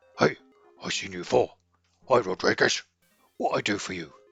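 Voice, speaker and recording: Over faint background music, a man puts on a raspy character voice, fairly low in pitch and at a fairly quick pace. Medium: solo performance. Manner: broken, simple grammar.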